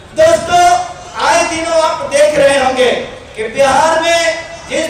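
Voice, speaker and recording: A man's extremely high-pitched voice with fairly even intonation, audible room echo and noticeable background noise. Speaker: senior journalist. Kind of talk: political rally speech. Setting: stage with audience, PA system.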